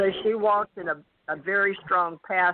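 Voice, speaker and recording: With a Southern US accent, a woman talks at a fairly slow pace. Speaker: psychic reader. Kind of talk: psychic reading on call-in radio.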